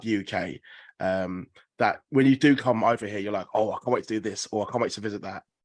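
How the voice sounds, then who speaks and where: A man talks fairly quickly at a medium pitch, the sound dry and close with no echo over a quiet background. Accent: English. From England. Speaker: podcaster asking questions at a press call. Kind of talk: press conference question. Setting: conference call.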